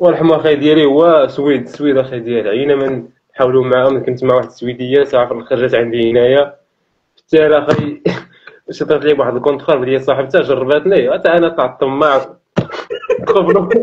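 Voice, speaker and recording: A man's voice at very even loudness, with ordinary pitch variation. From Tangier, Morocco. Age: young. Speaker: shop storekeeper. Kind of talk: casual street interview answer. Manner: humorous, outgoing.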